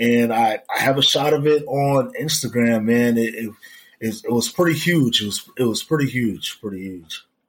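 A man with an American accent, an ordinary speaking voice, medium pitch, ordinary pitch variation and a moderate pace. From Jamaica, then Florida from age 11. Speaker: hiker and outdoor content creator. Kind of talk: casual interview chat.

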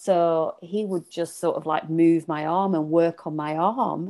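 With a Lancashire accent, a woman speaks at a fairly slow pace. Her voice is fairly low-pitched, with a dark, mellow tone. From Lancashire, northern England. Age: 40s. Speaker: feminine leadership coach. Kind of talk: casual chat.

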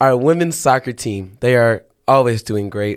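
In an American accent, a man speaks in an animated tone at a medium pitch in a very clean recording with a silent background. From Texas. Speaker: college radio host. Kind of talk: casual chat. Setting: studio.

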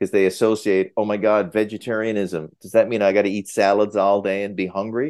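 With a Newfoundland accent, a man talks fairly quickly at a fairly low pitch, with hardly any pauses and a quiet background. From Newfoundland, Canada. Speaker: cardiologist. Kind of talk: interview.

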